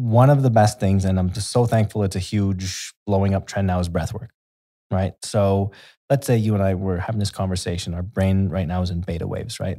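In a Canadian accent, a man with a fairly low, dark, mellow voice speaks on a very clean recording with a silent background. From Canada. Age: 30s. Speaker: health educator. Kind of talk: podcast interview. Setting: in-person studio. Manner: energetic.

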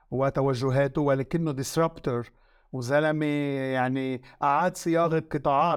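On a very clean recording with a silent background, a man with a Lebanese accent speaks fairly slowly at a fairly high pitch, his intonation fairly even. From Lebanon. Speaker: media consultant. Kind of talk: interview.

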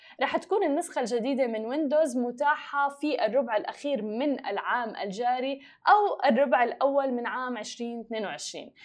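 A woman's high voice moves at a fairly slow pace. Her intonation is lively. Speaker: podcast host. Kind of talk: news reading.

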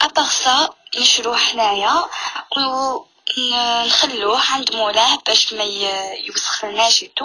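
A woman speaks at a very slow pace with a high pitch and ordinary pitch variation. Noticeable background noise runs beneath her voice. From Algeria, Tiaret. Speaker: caller. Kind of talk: casual chat.

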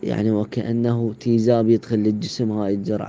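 This man talks at a fairly slow pace. His pitch is medium. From Iraq. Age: young. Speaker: cancer survivor. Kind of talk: personal testimony.

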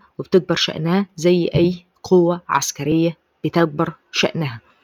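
A woman with an Egyptian accent speaks at a fairly low pitch, the sound dry and close with no echo. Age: 20s. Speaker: podcast host. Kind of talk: solo commentary podcast.

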